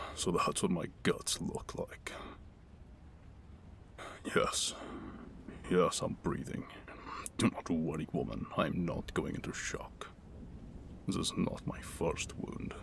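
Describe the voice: A man uses a raspy, put-on character voice. He talks at a fairly slow pace with long, frequent pauses.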